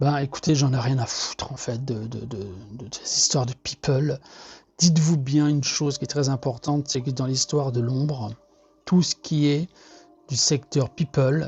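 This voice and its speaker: A man's somewhat breathy voice, medium in pitch, with fairly even intonation and a fairly slow pace. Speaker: artist sharing monthly energy reading. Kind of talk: casual monologue. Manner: hesitant, many fillers and repetitions.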